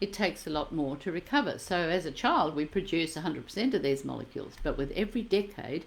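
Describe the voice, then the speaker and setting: Speaking at a very fast pace, a woman uses a fairly low pitch and lively intonation. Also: hardly any pauses. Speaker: product presenter. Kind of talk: sales pitch.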